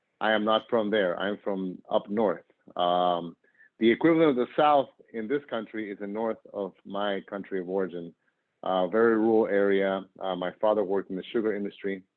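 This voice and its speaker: At a moderate pace, a man uses a plain, everyday voice, fairly low in pitch, with ordinary pitch variation. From northern Argentina, moved to US at 10. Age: 40s. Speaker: nonprofit worker and professor. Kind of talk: interview.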